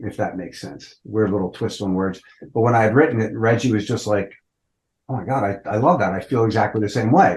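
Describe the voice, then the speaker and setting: A fairly low-pitched, somewhat breathy man speaking at a fairly quick pace. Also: ordinary pitch variation. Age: 60s. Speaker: rock band vocalist. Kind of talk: interview. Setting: podcast interview. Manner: casual, conversational.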